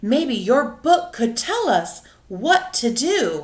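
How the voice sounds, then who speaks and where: A woman uses a put-on character voice at a high pitch. She moves at a very slow pace, her pitch swinging very widely. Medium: read story.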